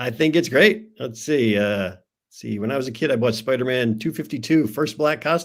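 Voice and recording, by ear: With little background sound, a natural voice reads the text aloud.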